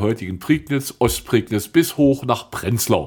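A man with an ordinary speaking voice, medium pitch, lively intonation and a fairly slow pace. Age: 60s. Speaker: tour guide and local historian. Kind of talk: casual interview about local history.

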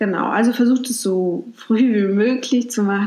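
A woman with a fairly high pitch and ordinary pitch variation has an unremarkable speaking voice. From Mecklenburg-Vorpommern, Germany. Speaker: podcast host. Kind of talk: casual advice monologue. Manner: conversational, with fillers.

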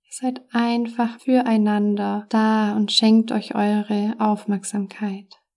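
A woman speaks very slowly in a soothing, calm tone at a fairly high pitch, with monotone, flat intonation. She leaves hardly any pauses, and her loudness swings widely. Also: very clean recording, silent background. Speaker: meditation coach and podcast host. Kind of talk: guided meditation. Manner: slow, soft, soothing, calm with long pauses; warm, gentle, caring.

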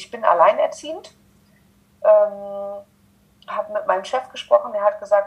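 A woman speaking at a fairly slow pace. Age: 30s. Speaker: social worker. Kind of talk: interview.

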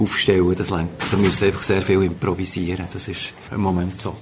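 In a monotone with flat intonation, a man speaks at a fairly low pitch over noticeable background noise. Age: 60s. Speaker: workshop participant. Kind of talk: interview.

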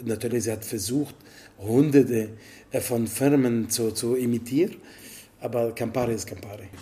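With long, frequent pauses, a man at medium pitch speaks at a moderate pace in a dark, mellow, somewhat breathy tone with fairly even intonation. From Italy. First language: Italian (speaking German). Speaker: bartender. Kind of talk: interview. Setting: in a bar.

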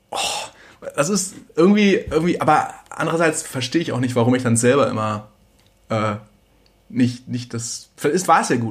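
Speaking at a moderate pace with long, frequent pauses, a somewhat breathy man uses lively intonation at a fairly high pitch. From Germany. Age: 30s. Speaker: singer-songwriter. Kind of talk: casual chat. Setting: home kitchen.

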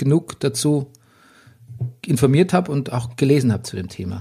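This voice has a dark, mellow tone, somewhat breathy, with lively intonation. It moves at a moderate pace with long, frequent pauses. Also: man. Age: 40s. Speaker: podcast host. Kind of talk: casual chat. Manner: animated.

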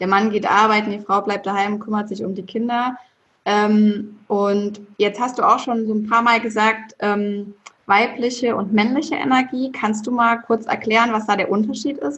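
A woman with a fairly high pitch and a plain, everyday voice talks at a moderate pace with ordinary pitch variation. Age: 30s. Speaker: podcast host. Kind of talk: casual chat.

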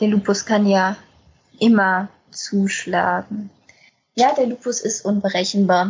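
Speaking at a very slow pace with long, frequent pauses, a woman sounds somewhat breathy, her medium pitch held in fairly even intonation. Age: 20s. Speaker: lupus patient and self-help group volunteer. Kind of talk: casual podcast conversation.

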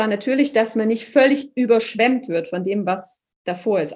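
A woman speaks fairly high for a woman, and her pitch varies in an ordinary way. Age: 30s. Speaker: opera singer. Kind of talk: interview.

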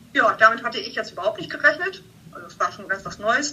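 This woman's fairly high pitch carries over noticeable background noise. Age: 50s. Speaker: bank customer service employee. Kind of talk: casual interview. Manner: halting.

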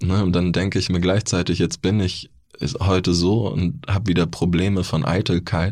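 Very deep, low male tones with fairly even intonation, delivered at a moderate speed. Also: very clean recording, silent background. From Bavaria (Neu-Ulm). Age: 30s. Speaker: author and formerly homeless person. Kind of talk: interview testimony.

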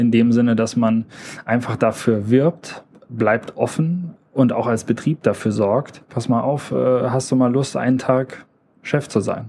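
With a dark, mellow tone and medium pitch, a man speaks very slowly and with fairly even intonation. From Germany, northern Hesse (rural). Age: 30s. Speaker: industry employee and podcaster. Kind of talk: casual interview chat. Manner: hesitant fillers, repetitions.

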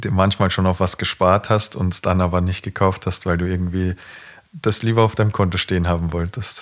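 Over a silent background on a very clean recording, a man with a very deep, low pitch talks at a moderate pace in a flat monotone. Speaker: professional footballer, podcast co-host. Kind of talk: casual chat.

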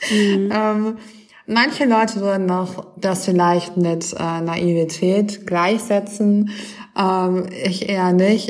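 At a very slow pace, a woman speaks at a medium pitch with fairly even intonation, with audible room echo and noticeable background noise. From western Germany, Düsseldorf. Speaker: activist and author. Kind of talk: interview. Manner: hesitant with many fillers.

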